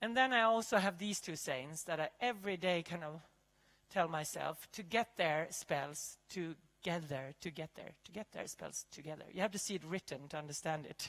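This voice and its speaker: With a Swedish accent, a woman speaks at a moderate pace in a fairly low pitch, with ordinary pitch variation and big swings in loudness. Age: 50s. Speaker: chef and keynote speaker. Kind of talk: keynote talk; panel Q&A answer. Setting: stage with audience.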